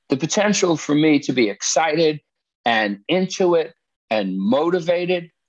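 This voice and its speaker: Against a quiet background, a man speaks at a fairly slow pace with lively intonation and very even loudness. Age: 60s. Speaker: therapist and musician. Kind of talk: casual chat. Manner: halting.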